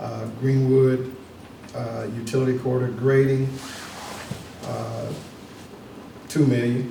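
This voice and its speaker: A man at medium pitch, very slow, with monotone, flat intonation and long, frequent pauses, amid audible room echo and noticeable background noise. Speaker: county commission member. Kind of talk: public meeting, reading out funding rankings. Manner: hesitant, many fillers.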